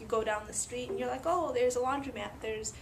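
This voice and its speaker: A woman's voice carries vocal fry and ordinary pitch variation, with audible room echo around it. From Latvia. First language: Russian. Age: 30s. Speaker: immigrant interviewee. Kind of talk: interview.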